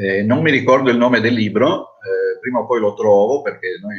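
A man talks at a moderate pace. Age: 60s. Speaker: hotel manager. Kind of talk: webinar panel talk.

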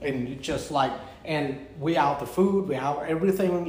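A man with a Cambodian accent, against noticeable background noise. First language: Khmer. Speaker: restaurant owner and chef. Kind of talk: casual chat. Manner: animated, laughs a lot; halting.

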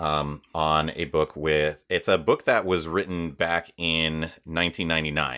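This man has a very deep, low pitch and speaks at a very slow pace. He leaves hardly any pauses. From US, Haitian immigrant family. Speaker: voiceover artist. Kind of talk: interview.

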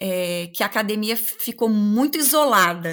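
With lively intonation and a fairly high pitch, a woman speaks at a fairly slow pace. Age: 40s. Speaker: law professor. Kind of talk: interview.

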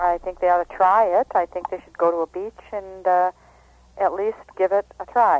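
The speaker talks at a moderate pace with a Wisconsin accent. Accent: Upper Midwest (Wisconsin). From Wisconsin, near Oshkosh. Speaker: nudist organization representative. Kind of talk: radio interview.

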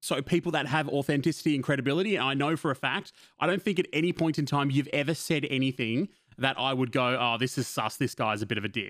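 A man speaks at a very fast pace with fairly high pitch, ordinary pitch variation and very even loudness. The recording is very clean with a silent background. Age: 20s. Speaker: podcast host and streamer. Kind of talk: casual chat.

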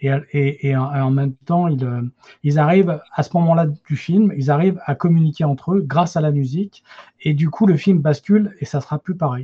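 A man with a fairly high pitch talks at a moderate pace with ordinary pitch variation, recorded dry and close with no echo. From France, Paris region. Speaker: film enthusiast, podcast initiator. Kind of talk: casual panel discussion. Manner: halting, repetitive.

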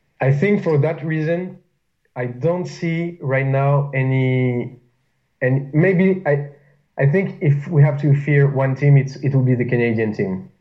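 The man's voice sits fairly high and sounds somewhat breathy. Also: ordinary pitch variation. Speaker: powerlifter. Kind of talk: casual chat.

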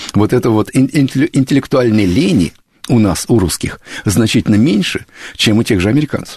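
A somewhat breathy man's voice of medium pitch with a dark, mellow tone. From Moscow region, Russia (Kupavna). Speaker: americanist expert. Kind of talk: radio interview. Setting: studio.

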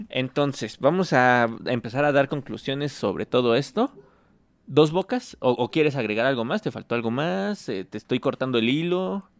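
Lively intonation marks this man's medium-pitched, normal speaking voice at a moderate pace. The recording is very clean with a silent background and a dry, close sound with no echo. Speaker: political podcast host. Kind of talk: casual chat.

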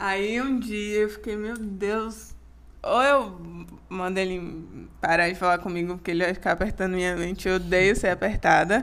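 A woman talks with a plain, everyday voice. Her pitch is medium, her intonation fairly even, and her pace moderate. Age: 20s. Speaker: podcast co-host. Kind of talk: casual chat.

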